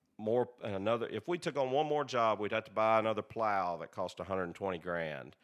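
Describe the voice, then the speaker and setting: Speaking at a fairly quick pace with lively intonation, a man with a Southern US accent comes through on a very clean recording with a silent background. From Tennessee, Tullahoma. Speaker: irrigation company owner. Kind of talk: casual chat. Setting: in his home.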